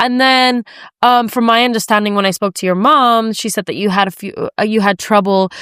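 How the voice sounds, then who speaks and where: On a very clean, dry, close recording with a silent background and no echo, a woman with an American accent speaks fairly quickly in a fairly high pitch, her tone bright and sharp and her intonation fairly even. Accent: sounds American. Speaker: podcast host. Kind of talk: casual chat.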